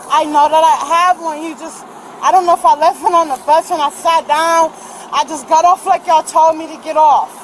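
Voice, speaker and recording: A woman talks at a fairly quick pace with an extremely high pitch and monotone, flat intonation. Her loudness swings widely, and background noise is noticeable. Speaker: detained shoplifting suspect. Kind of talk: confrontation with police. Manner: rapid and agitated.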